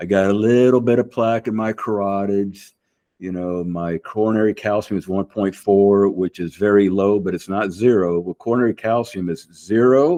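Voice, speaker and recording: A plain, everyday voice moves at a moderate pace with fairly even intonation. The background is quiet, and the sound is dry and close with no echo. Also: man, fairly low pitch for a man. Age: 60s. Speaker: vascular surgeon, bodybuilder. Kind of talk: casual interview chat.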